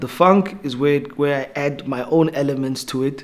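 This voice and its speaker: A man with a Namibian accent, fairly high pitch, ordinary pitch variation, and a fairly slow pace. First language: Oshiwambo. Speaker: rapper. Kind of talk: interview. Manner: halting.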